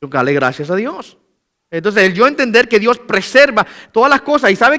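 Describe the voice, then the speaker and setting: A man uses a raised, projected voice with a bright, sharp tone. The sound is dry and close with no echo, on a very clean recording with a silent background. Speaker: pastor. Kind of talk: sermon. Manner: fast.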